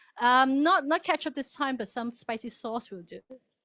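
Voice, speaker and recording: A woman's high voice with lively intonation, on a very clean recording with a silent background. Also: dry, close sound with no echo. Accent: Cantonese. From Hong Kong. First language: Cantonese. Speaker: church member presenter. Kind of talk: presentation to congregation.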